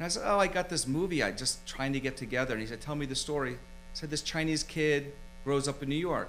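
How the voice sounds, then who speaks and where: A man with an American accent at a fairly high pitch and very fast pace, with ordinary pitch variation and music in the background. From Philadelphia, US. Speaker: screenwriter and film producer. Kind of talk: casual interview chat. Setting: studio.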